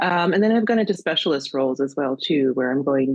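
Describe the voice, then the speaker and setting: This woman speaks with an American accent in a very deep, low voice. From US Midwest, Minnesota. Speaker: career coach. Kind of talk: interview. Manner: many filler words.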